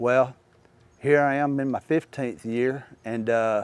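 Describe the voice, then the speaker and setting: The sound is dry and close with no echo as a man speaks with a Mississippi accent. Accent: Southern US (Mississippi). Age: 60s. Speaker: baseball coach. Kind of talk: interview monologue. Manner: halting, many fillers.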